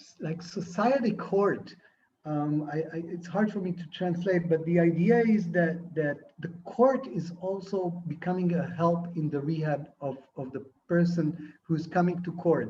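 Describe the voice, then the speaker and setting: In an Israeli accent, a man talks at a fairly slow pace with a high pitch and a dark, mellow tone. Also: ordinary pitch variation. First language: Hebrew. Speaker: film and TV director. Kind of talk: interview. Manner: halting.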